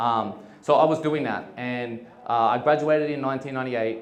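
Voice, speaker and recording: A man talks at a very fast pace with fairly even intonation. The recording has audible room echo and noticeable background noise. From Australia. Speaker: entrepreneur. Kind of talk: conference talk. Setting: stage with audience. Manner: casual, with many fillers.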